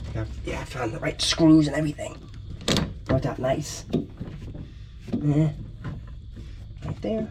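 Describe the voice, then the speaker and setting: Against noticeable background noise, a man with a fairly high pitch talks at a fairly slow pace, leaving long, frequent pauses. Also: ordinary pitch variation. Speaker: amateur racer and vlogger. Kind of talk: casual vlog while working on car.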